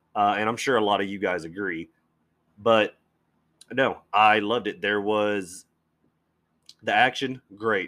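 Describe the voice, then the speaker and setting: The intonation stays fairly even. Long, frequent pauses break up the speech. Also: man. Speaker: podcast host, comic and movie fan. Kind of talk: casual solo podcast monologue, profane. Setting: home podcast recording, solo.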